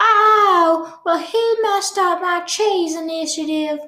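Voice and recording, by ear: Put-on character voice at an extremely high pitch and a fairly slow pace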